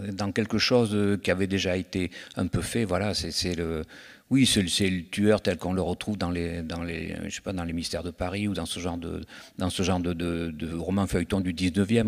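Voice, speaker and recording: Against a quiet background, a man with a very deep, low voice speaks at a moderate pace with fairly even intonation. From France, Bordeaux region; France. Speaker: crime novelist; guest. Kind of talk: literary festival interview. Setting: stage with audience. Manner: halting, many repetitions. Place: stage. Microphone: handheld.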